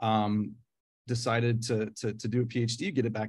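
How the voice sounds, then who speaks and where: A man with a Midwestern accent and medium pitch, on a very clean recording with a silent background. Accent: American Midwestern. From US Midwest, Nebraska. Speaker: professor. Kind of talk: lecture. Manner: hesitant, many fillers.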